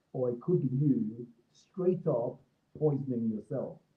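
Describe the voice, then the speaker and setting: Speaking at a very slow pace, a man with an African accent has a fairly high pitch. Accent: African accent, noticeable on some words. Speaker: creative professional. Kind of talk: talk broadcast. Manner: hesitant, many fillers.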